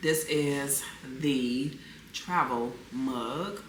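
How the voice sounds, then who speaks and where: A woman's very deep, low voice with ordinary pitch variation, plus audible room echo and noticeable background noise. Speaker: lifestyle vlogger. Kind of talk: casual vlog chat. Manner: conversational, filler-heavy.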